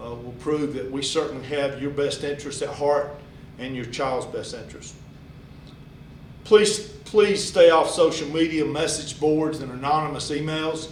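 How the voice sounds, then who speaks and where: Audible room echo, big swings in loudness, and a moderate pace. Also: man, fairly high pitch for a man, ordinary pitch variation. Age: 60s. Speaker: high school athletic director. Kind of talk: address to parents.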